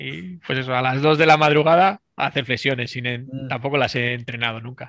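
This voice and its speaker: A man speaks in an unremarkable speaking voice at a medium pitch. His pitch varies in an ordinary way, and his pace is moderate. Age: 40s. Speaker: plumber and bench press competitor. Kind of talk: casual interview.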